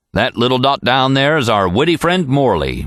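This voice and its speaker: A man uses a put-on character voice at a medium pitch with lively intonation. He keeps a moderate pace and very even loudness. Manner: funny.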